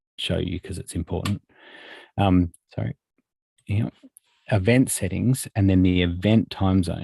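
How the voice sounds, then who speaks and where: In a very clean recording with a silent background and a dry, close sound with no echo, a man with an Australian accent speaks at a moderate pace in a very deep, low pitch, his tone dark and mellow, somewhat breathy, with ordinary pitch variation. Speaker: software trainer. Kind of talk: tutorial. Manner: halting, many fillers.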